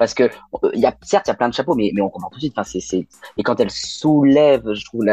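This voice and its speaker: A man speaks at a very fast pace with lively intonation. The sound is dry and close with no echo, and music plays in the background. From Lyon, France (raised partly abroad, incl. China). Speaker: drag queen. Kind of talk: casual chat.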